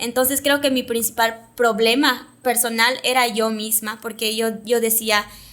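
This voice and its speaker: A woman's fairly high, bright and sharp voice, monotone and flat, at a fairly slow pace with hardly any pauses. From Yucatán, Mexico (Mayapán). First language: Yucatec Maya (speaking Spanish). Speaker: TV presenter and communicator. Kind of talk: interview conversation.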